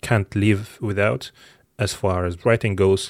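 Moderate-paced speech from a man with a non-native accent and fairly low pitch, on a very clean recording with a silent background. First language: not English. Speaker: podcast host. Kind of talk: solo tech podcast monologue. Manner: casual with frequent fillers and repetitions.

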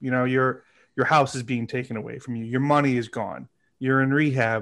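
A man talks with a normal speaking voice at a moderate pace and fairly even intonation. The background is quiet. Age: 30s. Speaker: podcast guest. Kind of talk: casual chat.

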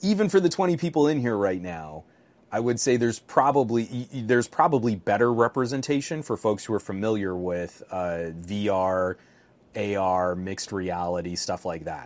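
Over a very clean recording with a silent background, a man with a fairly low pitch uses lively intonation at a moderate pace in an unremarkable speaking voice. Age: 40s. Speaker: tech podcast co-host. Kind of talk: casual chat.

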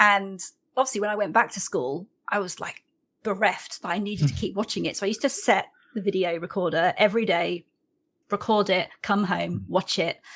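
Talking in a British accent, a woman moves at a fairly quick pace with ordinary pitch variation. Vocal fry runs through her voice. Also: medium pitch for a woman. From UK. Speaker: podcast host. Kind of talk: casual chat.

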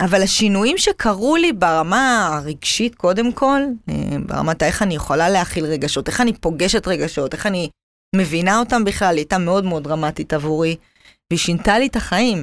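Here is a woman with a normal speaking voice at medium pitch. She talks at a moderate pace with lively intonation. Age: 30s. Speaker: cancer survivor. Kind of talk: casual interview. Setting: studio.

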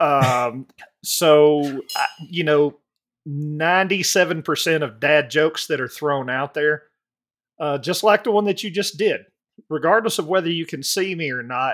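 A man with a Southern US accent, fairly high in pitch, very slow, with long, frequent pauses. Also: ordinary pitch variation, very clean recording, silent background. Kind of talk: casual chat.

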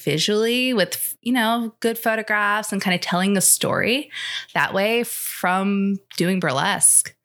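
The woman sounds confident, with a bright, sharp tone. Her pitch is medium and her pace moderate. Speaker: ice cream business owner. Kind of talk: interview. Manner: confident and outspoken.

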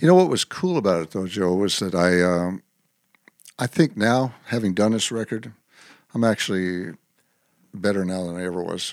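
In a dry, close sound with no echo, a man with an American accent and a very deep, low pitch speaks at a moderate pace, with ordinary pitch variation and long, frequent pauses. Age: 60s. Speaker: singer-songwriter. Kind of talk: casual interview.

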